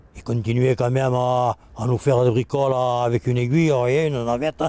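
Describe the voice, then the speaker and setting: The man's tone is dark and mellow. He holds a fairly even intonation throughout. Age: 70s. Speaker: retired fisherman. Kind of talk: interview, personal reminiscence. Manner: hesitant, with fillers.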